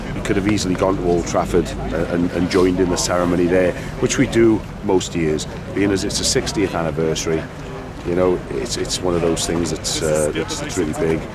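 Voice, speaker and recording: A man with a very deep, low pitch speaks with ordinary pitch variation. Noticeable background noise and audible room echo fill the recording. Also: fairly quick pace. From Wales. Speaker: football supporter. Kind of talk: interview. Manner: halting.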